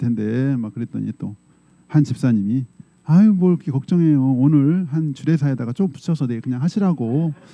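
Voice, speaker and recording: A man speaks at a medium pitch with a dark, mellow tone. His pace is fairly quick and his intonation lively. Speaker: pastor. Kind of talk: sermon. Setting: church. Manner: conversational, storytelling.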